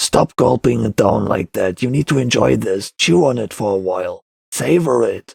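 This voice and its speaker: A put-on character voice comes at a moderate pace in a dry, close sound with no echo. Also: man, medium pitch for a man. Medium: read story. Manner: curt, gruff.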